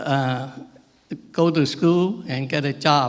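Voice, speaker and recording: A man at a fairly high pitch, with fairly even intonation and a very slow pace. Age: 90s. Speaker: war veteran. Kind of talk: ceremony speech. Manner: halting.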